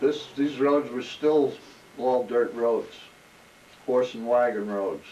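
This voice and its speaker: With a New Jersey accent, a man at medium pitch speaks at a very slow pace, keeping fairly even intonation and long, frequent pauses. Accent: New Jersey American. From New Jersey, South Brunswick. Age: 80s+. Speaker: oral history interviewee, retired corrections officer. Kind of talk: oral history interview. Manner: halting, with fillers and restarts.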